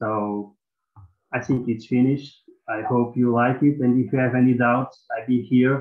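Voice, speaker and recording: A man speaks in a Portuguese accent with monotone, flat intonation. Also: medium pitch for a man, moderate pace. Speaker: mobile librarian. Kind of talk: conference presentation. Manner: halting.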